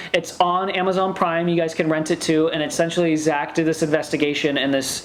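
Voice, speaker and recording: A woman at a fairly low pitch and fairly quick pace, with audible room echo and noticeable background noise. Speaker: vlogger. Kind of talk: casual chat. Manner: halting.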